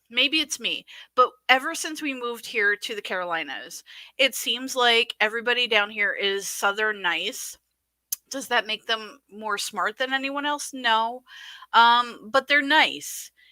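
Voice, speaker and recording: A woman's fairly high voice with a northern US accent, fairly slow and with ordinary pitch variation, in a very clean recording with a silent background and a dry, close sound with no echo. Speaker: podcast co-host. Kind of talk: casual livestream commentary.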